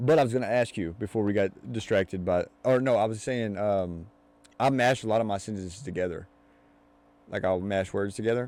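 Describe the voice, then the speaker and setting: The speaker talks at a fairly quick pace in a Louisville accent, with ordinary pitch variation. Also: man, fairly low pitch for a man. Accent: Louisville Kentucky accent, mild. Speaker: podcast host. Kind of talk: casual chat. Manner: runs words together; fast.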